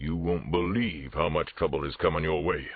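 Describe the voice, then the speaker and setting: Putting on a character voice, a man growls and rumbles at a very deep, low pitch. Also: moderate pace, ordinary pitch variation. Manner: menacing.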